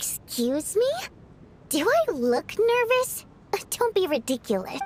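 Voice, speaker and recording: Putting on a character voice, a woman speaks at an extremely high pitch with very wide pitch swings. Her pace is fairly slow. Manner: indignant, denying.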